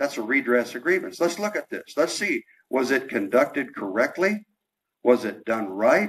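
This man speaks with an American accent at a moderate pace, his fairly high voice swinging very widely in pitch. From US Colorado. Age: old. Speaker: former fire chief, rally speaker. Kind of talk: rally speech, earnest and plain-spoken, rousing call to stand up and speak the truth. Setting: stage with audience. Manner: halting, folksy, sincere, repeating words as he gathers thoughts. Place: hall.

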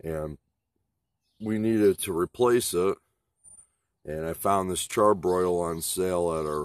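In a very deep, low voice, a man speaks fairly slowly, the sound dry with no echo and the background quiet. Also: ordinary pitch variation. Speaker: product reviewer. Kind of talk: casual unboxing review. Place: garden.

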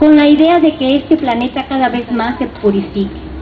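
Over light background noise, a woman talks at a high pitch. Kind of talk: guided ceremony address. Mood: calm, solemn, spiritual. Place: garden. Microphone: handheld.

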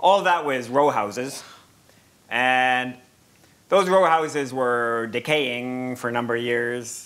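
In a normal speaking voice, a man speaks at a medium pitch and a fairly slow pace. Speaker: professor facilitating a panel. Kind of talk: moderated panel discussion. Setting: lecture room with audience and microphones. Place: hall.

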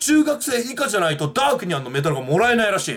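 Noticeable background noise sits behind a man's high-pitched voice. His pitch swings very widely. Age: 20s. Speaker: YouTuber; vlogger. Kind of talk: casual monologue; casual vlog chat, movie review. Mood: playful complaining. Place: home room. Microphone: webcam.

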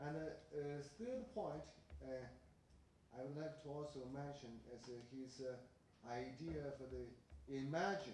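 A man with a Chinese accent talks at a moderate pace. There is audible room echo and light background noise. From China. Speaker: professor and commentator; professor, commentator. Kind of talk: academic commentary. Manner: halting. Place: meeting room.

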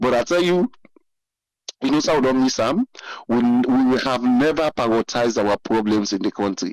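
This man speaks in a Sierra Leonean accent at a moderate pace and medium pitch, with ordinary pitch variation and very even loudness. Long, frequent pauses break up his speech, and the sound is dry and close with no echo. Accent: Sierra Leonean Krio-inflected English. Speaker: caller. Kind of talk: call-in commentary.

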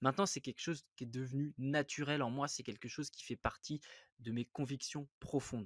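The sound is dry and close, without any echo. A man speaks at a moderate pace, his pitch varying in an ordinary way. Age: 30s. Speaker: investing podcast host. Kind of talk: solo podcast monologue. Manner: hesitant, many fillers; animated.

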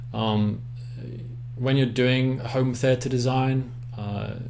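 A man with an English accent at a medium pitch, monotone, flat intonation, audible room echo and noticeable background noise. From England. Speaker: acoustics consultant. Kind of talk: presentation.

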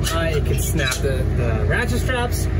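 Loud background noise runs behind a man who keeps to a moderate pace. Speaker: car hobbyist vlogger. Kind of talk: casual vlog chat. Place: street. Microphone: phone near.

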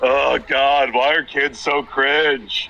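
In a put-on character voice, a man speaks at a fairly high pitch over light background noise. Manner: whiny, exasperated.

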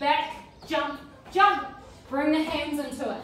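Here a woman speaks at a high pitch. Audible room echo and light background noise accompany her. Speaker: fitness instructor. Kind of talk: workout instruction. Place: home room. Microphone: camera far.

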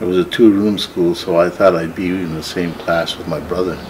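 Noticeable background noise is present. The speaker's intonation is fairly even. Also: man. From northern Ontario, Canada. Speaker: artist and entrepreneur. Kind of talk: life story interview; interview answer. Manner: halting, many fillers. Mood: calm, reflective storytelling. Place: workshop.

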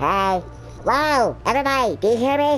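A female-sounding, put-on character voice, squeaky and fairly high, moves at a moderate pace. Music plays in the background. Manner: playful.

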